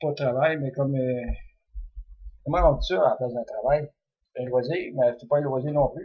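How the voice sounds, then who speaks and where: A man's fairly high voice with big swings in loudness. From Quebec. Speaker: dream interpreter. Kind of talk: religious text commentary. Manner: hesitant, many fillers; relaxed, unhurried.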